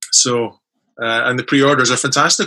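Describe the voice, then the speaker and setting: Against a quiet background, a man with an Edinburgh accent talks at a fairly quick pace in a bright, sharp tone, at a medium pitch with fairly even intonation. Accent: Scottish (Edinburgh). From Scotland, Edinburgh. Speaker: author. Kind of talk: casual chat.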